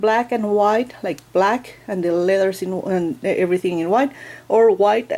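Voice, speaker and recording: A woman speaks at a fairly slow pace with a non-native accent. Her voice sits at a medium pitch and has a dark, mellow tone. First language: not English. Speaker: book vlogger. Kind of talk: product review tutorial. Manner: hesitant, many fillers.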